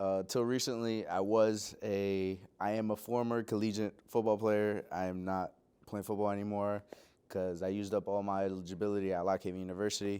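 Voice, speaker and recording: In a slight Puerto Rican accent, the speaker goes at a fairly quick pace with monotone, flat intonation, in a very clean recording with a silent background. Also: man. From Pennsylvania (Lebanon and Lancaster), born in Puerto Rico. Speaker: graduate student and musician. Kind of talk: interview. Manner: hesitant, many fillers.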